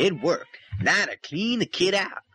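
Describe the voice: A put-on character voice comes through at a fairly slow pace with big pitch swings. The tone is bright and sharp, with a slightly husky edge. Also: man, high pitch for a man.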